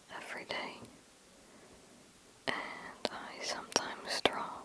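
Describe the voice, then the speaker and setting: Very slow whispering in a gentle tone, noticeable background noise behind it. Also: woman. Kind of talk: ASMR whisper Q&A to camera. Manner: whispered, soft, gentle, slow.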